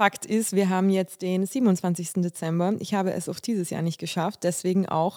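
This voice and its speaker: A woman speaks at a fairly slow pace in a dark, mellow tone. The recording is very clean with a silent background. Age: 30s. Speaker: podcast host. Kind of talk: personal monologue. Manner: halting, many fillers.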